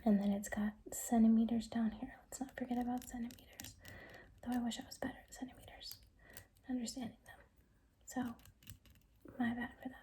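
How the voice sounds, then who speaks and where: The voice is soft-spoken. Long, frequent pauses break up the speech. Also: fairly quick pace. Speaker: ASMR creator. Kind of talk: ASMR soft-spoken show and tell.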